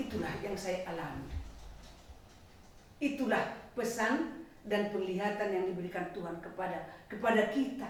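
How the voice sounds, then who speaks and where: A woman with a medium pitch and ordinary pitch variation talks at a moderate pace, leaving long, frequent pauses, with audible room echo and noticeable background noise. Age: 60s. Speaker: retired teacher giving religious testimony. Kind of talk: testimony.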